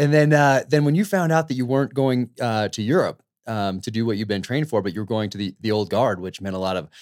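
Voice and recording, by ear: A man with an American accent talks at a very fast pace with ordinary pitch variation. The recording is very clean, with a silent background and a dry, close sound with no echo.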